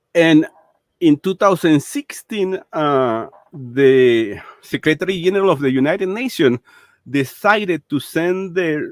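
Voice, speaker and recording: In a Spanish accent, the voice moves at a fairly slow pace with lively intonation and a dry, close sound with no echo. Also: man, fairly high pitch for a man. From Venezuela. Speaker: political commentator. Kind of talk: interview. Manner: halting, many fillers and repetitions.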